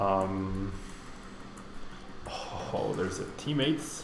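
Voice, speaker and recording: A man speaks with a fairly low pitch. There is audible room echo and noticeable background noise. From Mexico. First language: Spanish. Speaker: streamer. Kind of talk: live gameplay commentary; casual chat answering viewers. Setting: live stream. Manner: casual, thinking aloud.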